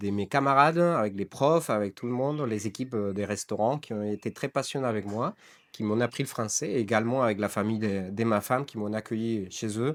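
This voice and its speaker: A man speaks at a fairly quick pace with a medium pitch and ordinary pitch variation. The recording is very clean, with a silent background. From Costa Rica, San Isidro El General. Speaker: coffee roaster, entrepreneur. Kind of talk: interview. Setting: coffee roasting workshop. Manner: halting, many hesitations.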